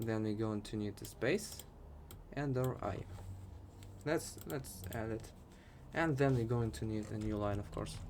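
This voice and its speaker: A man with a Russian accent, fairly low pitch and ordinary pitch variation, at a fairly slow pace with long, frequent pauses, in audible room echo. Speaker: programming tutor. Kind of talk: tutorial. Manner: casual.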